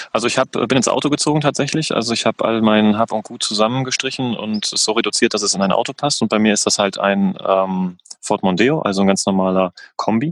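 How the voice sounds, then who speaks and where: An unremarkable speaking voice moves at a fairly quick pace with ordinary pitch variation, in a dry, close sound with no echo. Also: man, fairly low pitch for a man. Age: 30s. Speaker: van lifer, event organizer. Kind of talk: casual interview chat.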